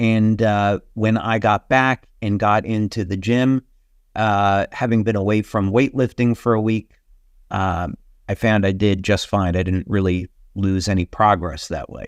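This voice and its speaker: An unremarkable speaking voice at a fairly slow pace, with fairly even intonation and a quiet background. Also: man, fairly low pitch for a man, dry, close sound with no echo. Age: 60s. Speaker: company founder and health speaker. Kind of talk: webinar presentation. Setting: online webinar. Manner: casual, with many filler words.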